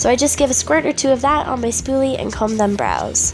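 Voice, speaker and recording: There is music in the background. Over it, a woman talks at a moderate pace. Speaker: makeup artist. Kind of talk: makeup tutorial voice-over.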